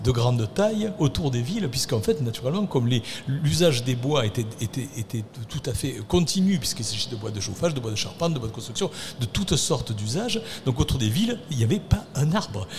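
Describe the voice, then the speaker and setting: Amid noticeable background noise, a man at a medium pitch talks at a fairly quick pace with very wide pitch swings. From Arles, Provence. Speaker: city works manager, former mason. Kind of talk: radio panel discussion.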